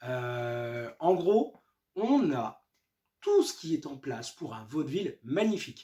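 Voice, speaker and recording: A man's pitch swings very widely as he talks in an animated tone. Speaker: comic book reviewer. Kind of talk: book review. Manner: halting with many fillers.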